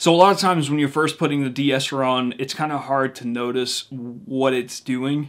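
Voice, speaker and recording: On a very clean recording with a silent background, a man speaks at a fairly quick pace with fairly even intonation. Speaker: music producer and singer. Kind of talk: tutorial. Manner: casual.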